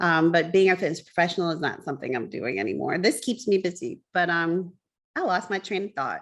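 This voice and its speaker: Against a quiet background, a woman with a fairly low pitch and vocal fry talks at a fairly quick pace with ordinary pitch variation. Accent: American. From US South. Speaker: baker and business owner. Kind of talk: casual chat.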